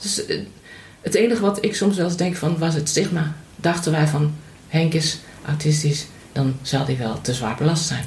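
A woman with a very deep, low voice talks at a moderate pace with ordinary pitch variation and long, frequent pauses, in a room with audible echo. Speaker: mother of host. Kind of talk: casual chat.

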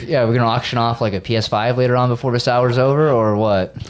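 A man at a medium pitch and fairly quick pace, with fairly even intonation and very even loudness, against noticeable background noise. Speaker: podcast guest. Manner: speaks at low volume.

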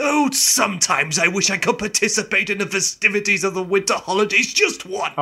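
A raised, projected voice at a fairly quick pace with hardly any pauses. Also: man, high pitch for a man, ordinary pitch variation. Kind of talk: comic fan radio play acting. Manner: wistful, self-pitying.

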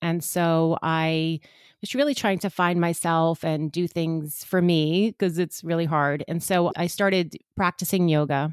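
A woman with a New York accent speaks fairly slowly at a fairly low pitch, her intonation fairly even. The sound is dry and close with no echo, on a very clean recording with a silent background. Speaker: psychic medium and energy healer. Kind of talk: casual interview chat.

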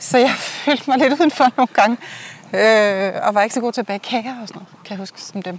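Here is a woman with an unremarkable speaking voice and a fairly high pitch, talking at a fairly quick pace. Her loudness swings widely while her pitch varies in an ordinary way. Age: 40s. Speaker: host's friend. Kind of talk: casual chat. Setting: outdoors.

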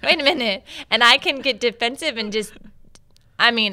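With an ordinary speaking voice, a woman talks at a moderate pace with ordinary pitch variation. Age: 30s. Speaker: podcast co-host, catechetical specialist. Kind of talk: casual chat.

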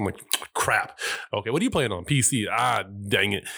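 A man with lively intonation. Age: 30s. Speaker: podcast host. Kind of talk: casual chat.

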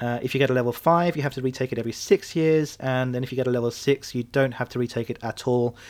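A man with a British accent at medium pitch, very fast pace and hardly any pauses. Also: fairly even intonation. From UK. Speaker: podcast host and airline pilot. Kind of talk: solo podcast monologue.

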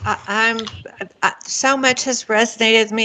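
Noticeable background noise sits under this recording. A woman talks at a fairly high pitch and a moderate pace. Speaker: podcast host. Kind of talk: scripted intro then interview chat.

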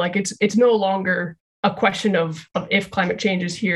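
With an unremarkable speaking voice, the woman holds a medium pitch and fairly even intonation while talking at a moderate pace. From Canada, Calgary. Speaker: social work lecturer and researcher. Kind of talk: interview.

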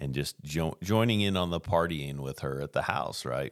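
Speaking at a moderate pace with an American accent, a man shows ordinary pitch variation. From US Pacific Northwest. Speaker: recovery ministry worker. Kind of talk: testimony.

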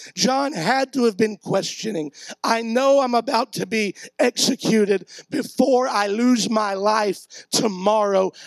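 A man's high-pitched voice at a fairly slow pace, with a dry, close sound and no echo. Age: 40s. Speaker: pastor. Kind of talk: sermon.

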